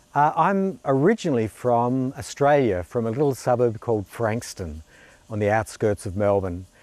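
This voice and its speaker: In a dry sound with no echo, a man talks at a moderate pace with ordinary pitch variation. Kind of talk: direct-to-camera self introduction. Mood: cheerful, smiling. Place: garden. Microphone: lapel.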